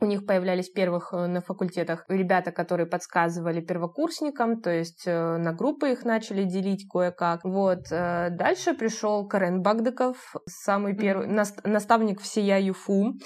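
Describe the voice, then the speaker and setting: A woman talks in an ordinary speaking voice at medium pitch and a moderate pace. Her pitch varies in an ordinary way. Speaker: university student mentor coordinator. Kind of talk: casual interview.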